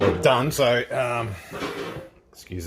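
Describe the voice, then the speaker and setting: A man at a very slow pace with lively intonation, against noticeable background noise. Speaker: car builder, video creator. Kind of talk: workshop tutorial vlog.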